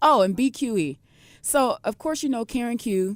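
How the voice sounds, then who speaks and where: This woman has an American accent. The background is silent on a very clean recording. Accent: New York accent with slight Southern touch. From Brooklyn, New York. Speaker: professional wrestler. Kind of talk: radio interview. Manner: animated, quoting dialogue.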